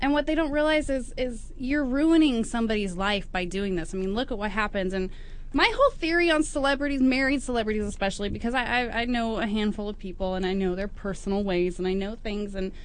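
Speaking at a very fast pace with hardly any pauses, a woman uses a fairly high pitch and lively intonation. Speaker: radio show co-host. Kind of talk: casual chat. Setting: studio. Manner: animated.

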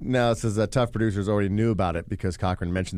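A man's fairly low voice in a Midwestern American accent, ordinary pitch variation, very fast pace. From west-central Indiana, Vigo County. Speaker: podcast co-host. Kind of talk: reading news article aloud; casual comedic chat. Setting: podcast theater studio.

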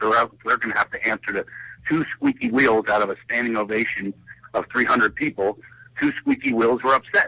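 Recorded with a dry, close sound and no echo, a man with a Philadelphia accent talks at a moderate pace. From Philadelphia, US. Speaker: comedian and show host. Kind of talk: casual talk-show chat. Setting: phone call. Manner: joking, playful.

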